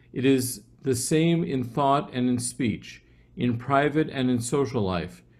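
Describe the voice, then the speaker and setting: A man with an ordinary speaking voice at medium pitch. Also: ordinary pitch variation, fairly slow pace. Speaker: class participant. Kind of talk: reading aloud.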